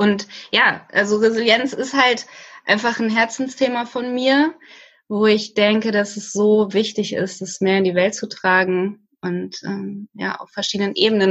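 A woman with a fairly high pitch and fairly even intonation talks in a normal speaking voice. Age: 30s. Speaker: social worker. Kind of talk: casual interview.

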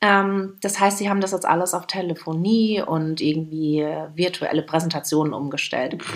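A woman with a plain, everyday voice speaks at a moderate pace with hardly any pauses, her fairly low pitch carried on fairly even intonation. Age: 30s. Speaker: podcast co-host. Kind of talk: casual chat.

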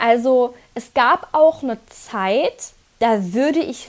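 Speaking at a very slow pace, a woman uses lively intonation and a high pitch. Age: 30s. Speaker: physiotherapist and climbing coach. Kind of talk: podcast interview.

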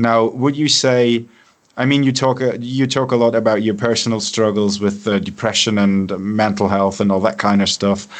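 A man with a German accent speaks at a moderate pace and medium pitch, his loudness very even and his intonation fairly even. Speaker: radio host and musician. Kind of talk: radio show host interview.

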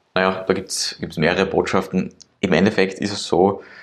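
A man talks in a very deep, low-pitched voice. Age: 20s. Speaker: entrepreneur. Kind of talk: interview. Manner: halting, many fillers.

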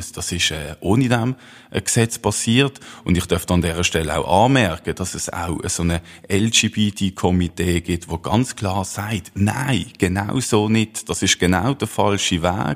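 At a very slow pace, a man speaks in a very deep, low pitch. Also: ordinary pitch variation. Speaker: youth party official, referendum campaigner. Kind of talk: political debate.

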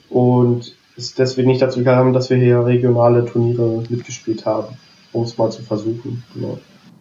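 Over noticeable background noise, a man with a medium pitch talks at a fairly quick pace in a monotone, flat delivery. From Berlin. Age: 20s. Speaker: wheelchair tennis player and student. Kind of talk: casual interview. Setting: remote call.

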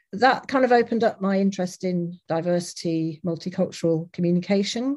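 A dark, mellow tone with an English accent at a fairly quick pace. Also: woman. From England, Leicester. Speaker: academic researcher in interactive documentary. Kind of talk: lecture. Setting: online lecture with audience.

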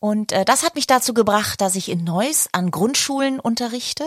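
With lively intonation and a somewhat breathy voice, a woman speaks at a fairly slow pace in a dry, close sound with no echo. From northern Germany, Baltic coast (Glücksburg). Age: 40s. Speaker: podcast co-host, actress. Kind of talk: casual chat.

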